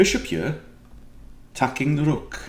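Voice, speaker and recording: A man speaks at a medium pitch with vocal fry. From Wales. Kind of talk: casual, explaining a chess move.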